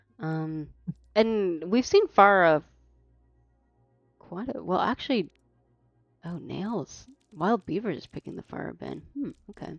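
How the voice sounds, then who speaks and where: A woman with an American accent speaks at medium pitch, fairly slowly, with lively intonation, big swings in loudness and long, frequent pauses. Music plays in the background, and the sound is dry and close with no echo. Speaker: esports caster. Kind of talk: live commentary. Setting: live stream.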